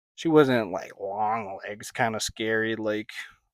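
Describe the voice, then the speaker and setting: A man of medium pitch is heard in a very clean recording with a silent background and a dry, close sound with no echo. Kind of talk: ASMR soft-spoken review. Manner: casual, hesitant.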